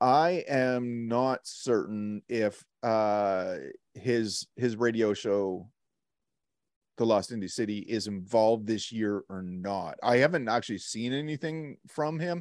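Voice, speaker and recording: This man has a medium pitch and ordinary pitch variation. He talks at a very slow pace. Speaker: podcast co-host. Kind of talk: casual chat. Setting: video call.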